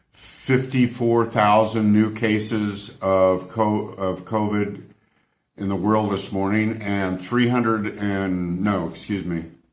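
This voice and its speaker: Amid audible room echo, a man with an American accent speaks fairly slowly at a fairly low pitch. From United States. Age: 70s. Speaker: travel vlogger. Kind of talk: opinionated rant to camera. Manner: animated, exasperated.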